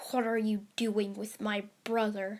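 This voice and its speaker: A female-sounding put-on character voice speaks at a fairly slow pace and a fairly high pitch with monotone, flat intonation. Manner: menacing.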